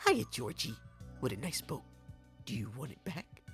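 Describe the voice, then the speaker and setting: Over clear background music, someone speaks at a moderate pace in a put-on character voice with a low-to-middle pitch. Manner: sinister, coaxing, friendly-sounding.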